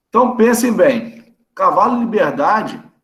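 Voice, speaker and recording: In a room with audible echo, a man speaks at an extremely high pitch. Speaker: veterinarian lecturer. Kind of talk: online lecture. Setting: video call. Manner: fast; casual, conversational.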